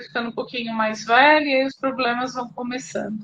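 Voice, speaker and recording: Here a woman speaks with a high voice. Her intonation stays fairly even. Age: 50s. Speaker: pharmacist, program client sharing testimony. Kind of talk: testimony in live interview. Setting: live video call. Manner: hesitant.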